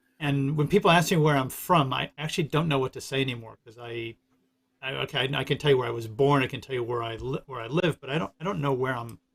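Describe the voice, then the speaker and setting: A man with a New York accent talks at a very fast pace, his loudness swinging widely. His medium-pitched voice is somewhat breathy, with ordinary pitch variation and a dry, close sound free of echo. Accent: New York American. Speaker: stream host. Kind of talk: casual chat. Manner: halting.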